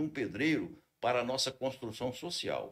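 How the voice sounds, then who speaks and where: Here a man uses a normal speaking voice. His pitch is medium and his pace moderate. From Brazil, Espírito Santo (Linhares). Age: 60s. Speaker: fraternal order leader. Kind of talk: podcast interview.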